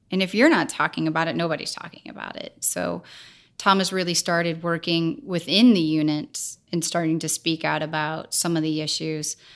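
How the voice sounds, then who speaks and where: A woman with an American accent speaks at a moderate pace in an unremarkable speaking voice, her pitch fairly low and her intonation fairly even. Her loudness swings widely, and the recording is very clean against a silent background. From US Midwest, St. Louis, Missouri. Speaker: filmmaker and foundation co-founder. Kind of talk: interview conversation.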